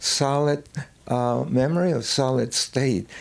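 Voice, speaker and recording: Fairly high in pitch for a man, his voice carries a dark, mellow tone. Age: 80s+. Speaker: filmmaker. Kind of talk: film introduction and Q&A. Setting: cinema with audience. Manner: halting.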